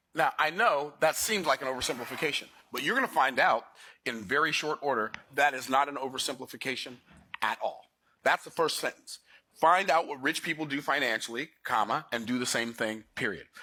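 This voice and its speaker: A man's fairly high-pitched voice, animated and bright, with a sharp tone and a fairly quick pace. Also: ordinary pitch variation. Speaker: financial educator. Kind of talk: lecture. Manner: fast.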